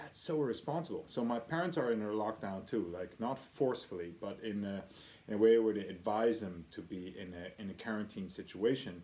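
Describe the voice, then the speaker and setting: A man with a Dutch accent speaks at a fairly quick pace in a medium pitch. His tone is dark and mellow, and his intonation is lively. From Netherlands. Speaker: blacksmith video diarist. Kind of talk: video diary. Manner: animated.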